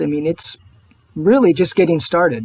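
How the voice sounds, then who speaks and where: The speech is soft-spoken. The sound is dry and close, with no echo. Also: man. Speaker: political video blogger. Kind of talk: personal video monologue.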